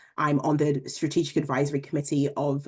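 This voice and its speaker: A woman's very deep, low voice with a dark, mellow tone, in a London accent at a fairly quick pace, over a quiet background. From England, London. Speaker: leadership program director, panelist. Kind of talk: panel introduction.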